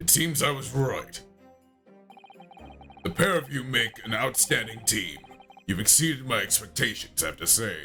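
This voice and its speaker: A man speaks in a put-on character voice at a medium pitch and a moderate pace, with faint music in the background. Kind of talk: formal, authoritative.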